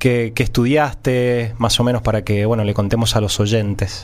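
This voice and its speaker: A man speaks at a moderate pace in a plain, everyday voice of medium pitch. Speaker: radio host. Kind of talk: radio interview.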